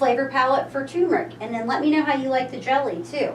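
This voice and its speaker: A woman's high-pitched voice with a Kentucky accent, amid audible room echo and noticeable background noise. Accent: Kentucky pronunciation. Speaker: local shop owner presenting a cooking class. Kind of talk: tutorial. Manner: casual, chatty.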